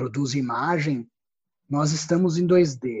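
Here is a man with a somewhat breathy voice. His pitch sits fairly high. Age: 40s. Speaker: theatre artist and researcher. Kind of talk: interview.

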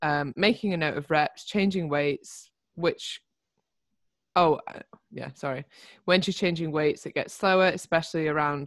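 A woman speaks with a British accent in a very deep, low pitch. Her pitch varies in an ordinary way. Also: quiet background. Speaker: fitness coach. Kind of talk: casual chat.

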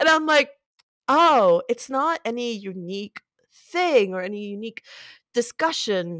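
In a dry, close sound with no echo, a woman speaks in an animated tone at a fairly slow pace, leaving long, frequent pauses, with big swings in loudness and very wide pitch swings. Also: fairly high pitch for a woman. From Puerto Rico. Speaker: concept artist. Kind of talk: casual interview chat. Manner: animated, laughs often.

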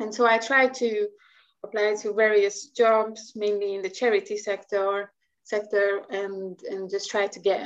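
This woman has a Hungarian accent and a medium pitch. She talks at a fairly slow pace with monotone, flat intonation. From Hungary. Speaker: marine scientist. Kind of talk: interview. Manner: halting.

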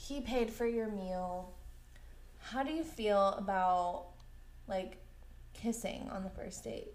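Audible room echo surrounds a woman speaking at a very slow pace with long, frequent pauses. Her medium-pitched voice is somewhat breathy, with ordinary pitch variation. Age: 20s. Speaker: podcast co-host. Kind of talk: casual chat.

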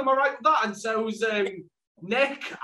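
A man speaks in a raised, projected voice with a Welsh accent, his pitch high and his pace fairly quick. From Wales. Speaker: podcast host. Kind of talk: casual interview chat.

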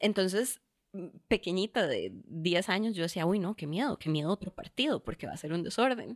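A woman with a plain, everyday voice, medium in pitch, at a fairly quick pace with lively intonation, in dry, close sound with no echo. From Costa Rica, Curridabat. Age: 20s. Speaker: lawyer. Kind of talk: casual chat.

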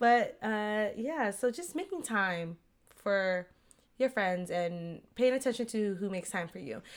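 A woman's fairly high pitch and lively intonation at a fairly slow pace, on a very clean recording with a silent background. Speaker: podcast co-host. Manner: loud, talkative.

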